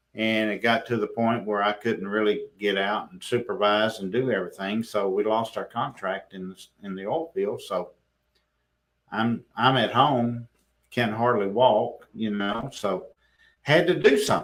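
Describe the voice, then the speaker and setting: A man with an ordinary speaking voice talks at medium pitch with ordinary pitch variation. His loudness swings widely. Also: fairly slow pace. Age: 60s. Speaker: business owner. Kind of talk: interview. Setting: manufacturing plant.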